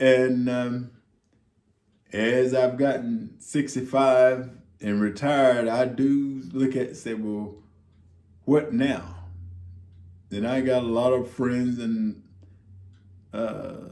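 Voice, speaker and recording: Man with an American accent, medium pitch, dark and mellow tone, fairly even intonation, very slow pace with long, frequent pauses, audible room echo. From US South. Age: 60s. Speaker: retiree vlogger. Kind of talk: casual monologue. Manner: halting, many fillers.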